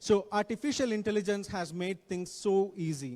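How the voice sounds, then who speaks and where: A high-pitched man with an Indian accent, moderate pace and ordinary pitch variation, in a very clean recording with a silent background. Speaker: guest speaker on technology. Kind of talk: talk to students. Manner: repetitive, self-correcting.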